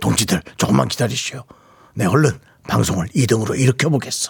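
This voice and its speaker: A man in a put-on character voice at a fairly quick pace. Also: medium pitch for a man. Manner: solemn, declamatory, in jest.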